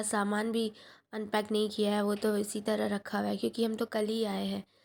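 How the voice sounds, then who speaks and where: At a fairly slow speed, a woman talks with a medium pitch. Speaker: vlogger. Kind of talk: casual vlog narration.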